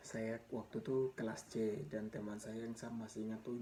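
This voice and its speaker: His medium-pitched voice carries fairly even intonation as the man speaks. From Papua highlands, Indonesia. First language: Mee (Papuan language) (speaking Indonesian). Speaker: vlogger sharing life story. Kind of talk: personal storytelling. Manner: casual, halting with repetitions.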